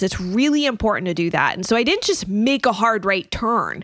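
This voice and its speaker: With lively intonation and an unremarkable speaking voice, a woman talks at a moderate pace. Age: 40s. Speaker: nutritionist and wellness business owner. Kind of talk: interview.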